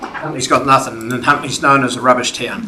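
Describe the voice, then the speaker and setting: A man's fairly high pitch over noticeable background noise. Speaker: community submitter at council hearing. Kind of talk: public submission. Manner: loud.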